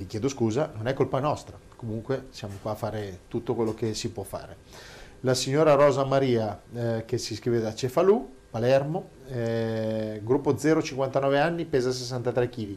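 At a fairly slow pace, a man with a medium-pitched, a normal speaking voice talks with ordinary pitch variation. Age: 50s. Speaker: show host reading listener questions. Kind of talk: casual chat.

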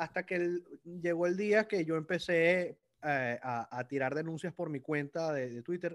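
The recording is dry and close, with no echo. A man speaks in a high voice. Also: ordinary pitch variation, fairly slow pace. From Venezuela. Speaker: lawyer and political commentator. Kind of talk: casual interview chat. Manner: halting, repeats words.

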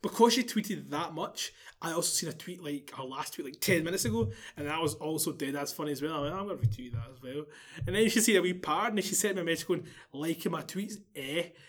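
With a Glaswegian accent, a high-pitched man talks at a very fast pace with lively intonation. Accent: Glaswegian Scottish. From Scotland, Glasgow. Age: 20s. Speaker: podcast guest. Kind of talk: casual chat.

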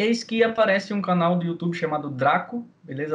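A man is speaking. His intonation is lively. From Brazil, Maceió, Alagoas. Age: 20s. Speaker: video game player. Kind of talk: casual interview chat.

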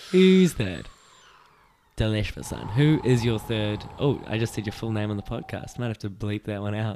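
Lively in intonation, a man with a New Zealand accent speaks in a dark, mellow tone at a fairly low pitch. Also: moderate pace. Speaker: podcast host. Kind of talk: casual chat about football and life.

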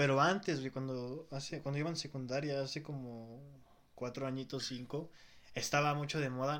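Someone with a Mexican accent talks at a fairly quick pace. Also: man. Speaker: podcast host. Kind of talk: casual chat.

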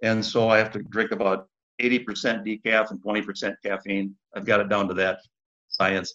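A man speaks at a moderate pace with fairly low pitch. His intonation is flat and monotone, broken by long, frequent pauses. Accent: Upper Midwest. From Minneapolis, Minnesota. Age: 60s. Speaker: former county commissioner. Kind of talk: interview, personal storytelling.

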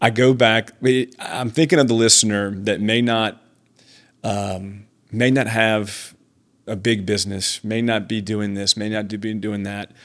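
Fairly low in pitch, this man has an ordinary speaking voice and fairly even intonation. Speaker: podcast co-host.

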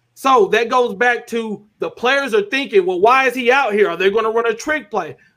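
An American-accented man speaks in an extremely high pitch, his raised, projected voice bright and sharp in tone with lively intonation. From Arkansas, US South. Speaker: YouTube sports content creator. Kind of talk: podcast interview.

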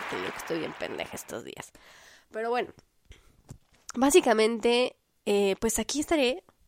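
In a Mexican accent, a woman speaks at a moderate pace with an animated tone. The sound is dry and close with no echo, in a very clean recording over a silent background. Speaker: podcast host. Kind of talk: casual monologue.

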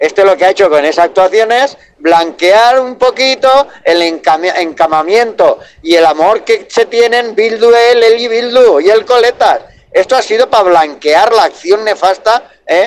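Using ordinary pitch variation, a man speaks at a fairly slow pace in a high pitch. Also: very even loudness. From Valencia, Spain. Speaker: truck driver calling a radio show. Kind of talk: phone-in call.

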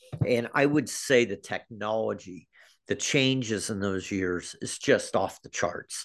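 A man with an American accent, a fairly slow pace and a quiet background. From US Midwest (Kansas City area). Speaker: high school athletic director. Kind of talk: interview. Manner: halting, with many fillers.

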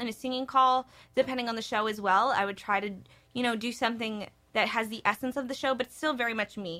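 At a very fast pace, a woman talks in an animated, bright, sharp tone, recorded very cleanly against a silent background. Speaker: podcast co-host, theater performance student. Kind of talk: casual chat.

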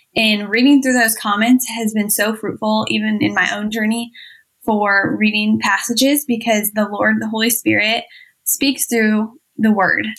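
A woman with an American accent has a plain, everyday voice. She talks at a fairly slow pace with fairly high pitch and fairly even intonation. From US Midwest, Iowa. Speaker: mom and online community co-founder. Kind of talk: interview.

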